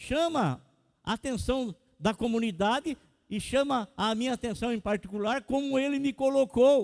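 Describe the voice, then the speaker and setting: Recorded very cleanly with a silent background and a dry, close sound with no echo, a man speaks at an extremely high pitch. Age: 60s. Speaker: pastor. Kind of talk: sermon.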